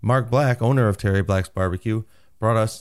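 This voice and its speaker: In a very clean recording with a silent background, a man with an unremarkable speaking voice talks at a fairly quick pace, with fairly low pitch and fairly even intonation. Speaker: podcast host. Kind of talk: casual interview. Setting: restaurant table.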